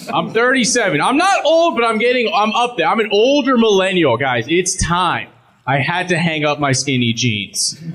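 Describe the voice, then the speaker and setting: A man speaks in a high voice at a moderate pace, his pitch swinging very widely. His loudness stays very even, with noticeable background noise behind him. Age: 30s. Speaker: stand-up comedian. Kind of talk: stand-up. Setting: stage with audience.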